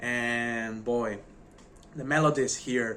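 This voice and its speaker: Speaking with a non-native accent, a man at a medium pitch uses a monotone, flat intonation, a bright, sharp tone and a very slow pace. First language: not English. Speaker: music reviewer YouTuber. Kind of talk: casual video review. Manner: halting.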